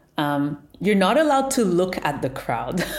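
Audible room echo surrounds a woman who talks at a fairly slow pace with ordinary pitch variation. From Montreal, Quebec, Canada. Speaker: tech business founder. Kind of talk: interview.

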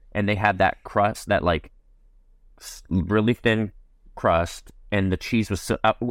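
With an American accent and an ordinary speaking voice, a man talks at a fairly low pitch in a dry, close sound with no echo. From New Jersey. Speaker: comedian and former food review marketer. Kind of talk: casual chat.

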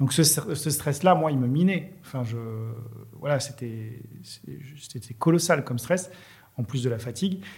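Somewhat breathy, a man speaks at a fairly slow pace with lively intonation and a fairly high pitch. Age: 50s. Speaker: entrepreneur. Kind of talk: casual interview chat. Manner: halting, many repetitions.

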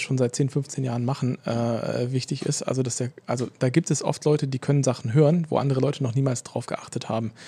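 A man speaks fairly quickly at medium pitch, somewhat breathy, with a dark, mellow tone and monotone, flat intonation. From Berlin, Germany. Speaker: speech recognition researcher. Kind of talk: casual podcast interview.

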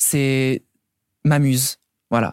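This man's medium-pitched voice is monotone and flat. The sound is dry and close with no echo, on a very clean recording with a silent background. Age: 20s. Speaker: cabaret performer. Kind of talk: interview testimony. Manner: halting.

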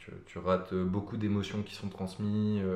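In a room with audible echo, a man speaks at a fairly slow pace in a very deep, low, monotone, flat voice. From Paris suburbs, France (Nanterre). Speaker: podcast guest. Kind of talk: casual chat about depression. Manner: halting, many repetitions and fillers.

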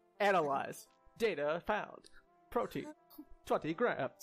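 A man's high-pitched, put-on character voice, with faint music in the background. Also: fairly slow pace. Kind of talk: flat, mechanical, clipped. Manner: robotic, emotionless.

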